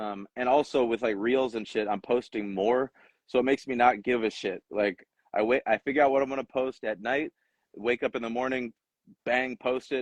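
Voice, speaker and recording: A man with a plain, everyday voice and medium pitch speaks at a moderate pace with fairly even intonation. The sound is dry and close, with no echo. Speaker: rapper. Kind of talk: casual interview.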